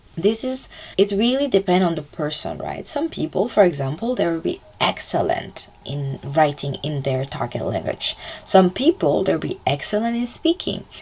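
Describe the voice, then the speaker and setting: A woman with a slight French accent, medium pitch, very wide pitch swings and a moderate pace, over noticeable background noise. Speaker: language-learning YouTuber. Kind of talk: casual vlog talk. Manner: casual, filler-heavy with self-corrections.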